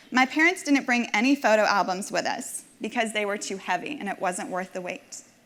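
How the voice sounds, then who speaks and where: Noticeable background noise surrounds a woman talking in a fairly high voice. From Nashville, Tennessee (from age five; born in Minsk, Belarus). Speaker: community volunteer donor. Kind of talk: personal testimony speech. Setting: stage with audience.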